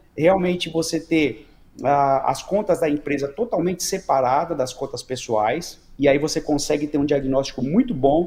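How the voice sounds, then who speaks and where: Fairly high in pitch yet dark and mellow in tone, a man's voice moves along at a fairly quick pace. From Brazil. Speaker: business consultant and company founder. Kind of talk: podcast interview.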